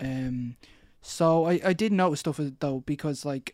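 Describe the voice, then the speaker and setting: A man with an Irish accent, dry and close with no echo, on a very clean recording with a silent background. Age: 20s. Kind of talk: interview.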